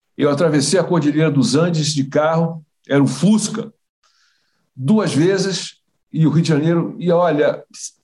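His tone is dark and mellow, his pitch fairly high, as the man talks at a moderate pace with ordinary pitch variation. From Brazil. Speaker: retired foreign ministry official. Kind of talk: interview storytelling. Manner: halting, many repetitions.

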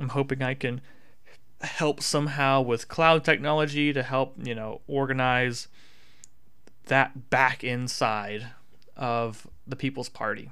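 A man with an American accent speaks at medium pitch in a bright, sharp tone. His pace is fairly slow, with long, frequent pauses. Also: very clean recording, silent background. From US South. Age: 20s. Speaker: political podcaster. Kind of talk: political commentary monologue. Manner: animated.

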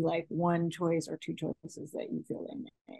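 A woman speaks with a Californian accent at a fairly low pitch. The sound is dry and close, with no echo. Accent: Californian American English. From Los Angeles. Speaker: estate planning attorney. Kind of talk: interview.

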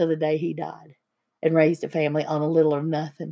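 A woman with an Appalachian accent at a fairly quick pace. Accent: Appalachian Southern US. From US South, eastern Tennessee. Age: 50s. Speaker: podcast host, spiritual healer. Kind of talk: casual chat.

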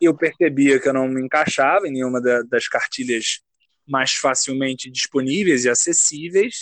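A man with a fairly high pitch and ordinary pitch variation uses an ordinary speaking voice at a moderate pace, recorded dry and close with no echo. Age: 20s. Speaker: graduate student and writer. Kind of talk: casual chat.

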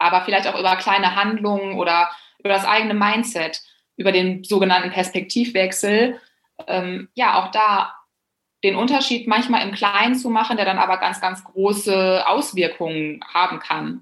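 A woman talks in an ordinary speaking voice at a medium pitch and a moderate pace. Her intonation stays fairly even. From Germany, Bielefeld. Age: 30s. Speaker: public speaker and blogger. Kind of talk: casual interview.

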